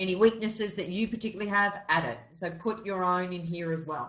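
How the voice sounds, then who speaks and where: A woman with an Australian accent at a medium pitch, moderate pace and ordinary pitch variation. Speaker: RTO business consultant running a member webinar. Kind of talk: webinar presentation. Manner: casual, with frequent fillers.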